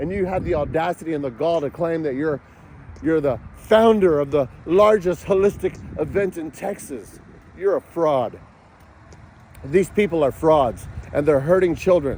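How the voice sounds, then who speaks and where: Using an animated tone, a man speaks at a moderate pace and fairly high pitch, with ordinary pitch variation and long, frequent pauses. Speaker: father in a custody dispute. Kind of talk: angry personal monologue. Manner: yelling.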